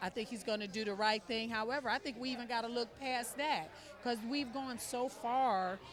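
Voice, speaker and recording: Crowd noise fills the background and there is audible room echo. A woman speaks with an American accent. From United States. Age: 60s. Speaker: political supporter. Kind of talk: interview. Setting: fundraising reception.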